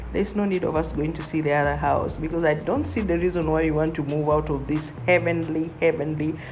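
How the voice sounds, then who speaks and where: A woman talks at a fairly quick pace in an animated tone, her pitch fairly low. Audible room echo and noticeable background noise fill the clip. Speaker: real estate agent. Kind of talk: vlog tour narration.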